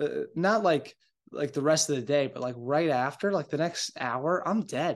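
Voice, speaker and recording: A man's plain, everyday voice, fairly high in pitch, with ordinary pitch variation against a quiet background. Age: 20s. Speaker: podcast host. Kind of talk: casual monologue. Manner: casual, filler-heavy.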